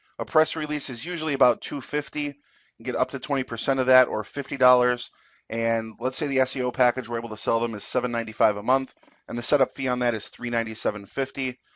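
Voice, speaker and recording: At a very fast pace, a man talks in a medium pitch with fairly even intonation. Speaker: business presenter. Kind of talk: sales pitch.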